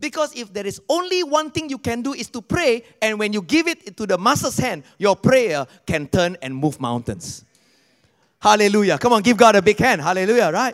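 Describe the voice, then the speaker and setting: High-pitched and animated, a man's voice swings very widely in pitch, with a dry, close sound and no echo. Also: moderate pace. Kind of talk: sermon. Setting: church service with congregation. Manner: animated, rousing call-and-response preaching; warm, upbeat, exhorting.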